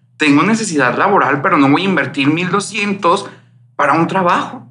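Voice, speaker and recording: Lively in intonation and high in pitch, a man speaks with audible room echo and noticeable background noise. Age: 30s. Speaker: psychologist. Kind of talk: interview. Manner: hesitant, many fillers.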